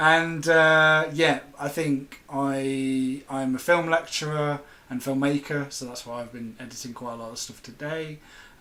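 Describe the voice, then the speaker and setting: With an English Midlands accent, a man talks in a fairly high pitch with fairly even intonation, hardly any pauses and big swings in loudness. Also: fairly slow pace. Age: 20s. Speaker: film lecturer and chat host. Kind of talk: casual chat. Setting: live video chat.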